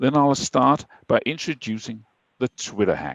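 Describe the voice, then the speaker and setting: A man with a Danish accent speaks at a fairly slow pace. His pitch is medium, with vocal fry. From Denmark. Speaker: IT security speaker. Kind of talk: webinar presentation. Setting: online webinar.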